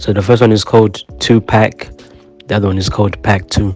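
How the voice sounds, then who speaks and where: A man's fairly low-pitched voice with fairly even intonation, music in the background. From Zimbabwe. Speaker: rapper. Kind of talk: podcast interview. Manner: casual, many fillers.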